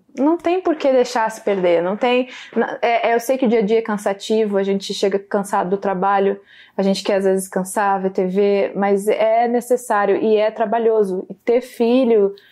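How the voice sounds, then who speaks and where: Ordinary pitch variation and a dark, mellow tone come through at a moderate pace. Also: woman, fairly high pitch for a woman. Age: 20s. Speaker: podcast host, political commentator. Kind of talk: casual interview. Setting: in person, studio.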